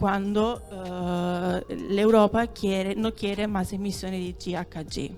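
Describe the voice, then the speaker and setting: Over music in the background, a woman speaks with an Italian accent. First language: Italian (speaking Spanish). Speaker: dairy consortium representative. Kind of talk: conference talk. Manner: halting.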